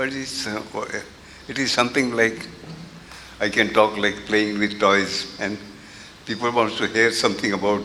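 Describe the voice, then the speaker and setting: A man with a fairly low pitch speaks in a flat monotone at a moderate pace. He leaves long, frequent pauses, and noticeable background noise is present. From India. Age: 80s+. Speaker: interviewee recalling spiritual history. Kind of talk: interview reminiscence. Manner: halting, many fillers.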